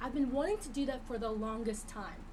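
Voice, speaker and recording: Audible room echo and noticeable background noise surround the speech. A woman with a high pitch talks in an animated tone. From Vietnam, raised in US. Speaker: co-host, actress. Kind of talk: casual chat.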